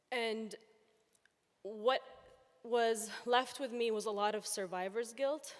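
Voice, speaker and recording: A woman speaks very slowly at a fairly high pitch, with long, frequent pauses. Her voice is shaky and her intonation fairly even. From Palestine. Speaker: audience member asking a question. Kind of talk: audience question at a public talk. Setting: event hall with audience, floor microphone.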